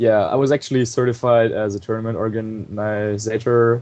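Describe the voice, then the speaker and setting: Man with a German accent, fairly low in pitch, fairly even in intonation, at a moderate pace. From Germany. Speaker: competitive video game player. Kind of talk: casual chat. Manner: hesitant, many fillers.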